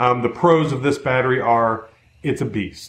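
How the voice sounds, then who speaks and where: Audible room echo around a man talking at a moderate pace. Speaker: product reviewer. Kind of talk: casual review talk. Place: workshop. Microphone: camera far.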